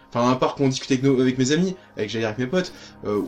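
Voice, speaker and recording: A man talking at a very fast pace with very wide pitch swings, music playing in the background. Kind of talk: interview.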